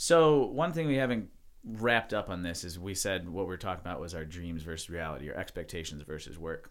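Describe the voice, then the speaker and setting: This man's very deep, low voice moves at a fairly quick pace with lively intonation. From US Midwest (Mentor, Ohio, east of Cleveland). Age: 20s. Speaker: podcast co-host, studio co-founder. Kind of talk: casual chat. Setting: studio.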